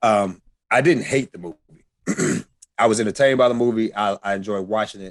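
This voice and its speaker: This man has an ordinary speaking voice, fairly low in pitch with ordinary pitch variation, and talks at a fairly quick pace. His loudness swings a lot, and the sound is dry and close with no echo. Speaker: podcast co-host. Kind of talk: casual chat.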